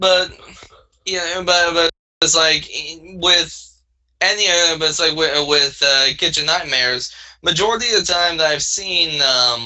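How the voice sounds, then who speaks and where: A man's high-pitched voice with a Southern US accent, ordinary pitch variation, a fairly slow pace and long, frequent pauses. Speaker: podcast co-host. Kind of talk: casual chat. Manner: halting, many fillers and restarts.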